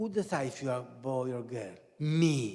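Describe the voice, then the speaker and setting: A man with an Italian accent speaks at a medium pitch in a somewhat breathy voice. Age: 70s. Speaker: professor. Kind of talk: lecture. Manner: halting.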